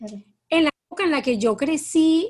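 Her pace is fairly slow. The woman's intonation is lively. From Colombia, Cartagena. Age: 50s. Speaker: writer. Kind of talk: interview. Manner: halting.

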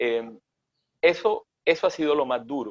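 Lively intonation from a man with a fairly high voice. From Colombian Caribbean coast (Sincelejo, Córdoba). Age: 40s. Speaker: chef. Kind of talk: interview conversation.

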